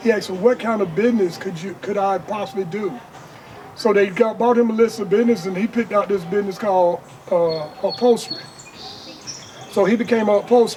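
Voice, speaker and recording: Amid noticeable background noise, a man talks at a very fast pace and a high pitch, with long, frequent pauses. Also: ordinary pitch variation. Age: 60s. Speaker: entrepreneur. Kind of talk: interview. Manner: casual.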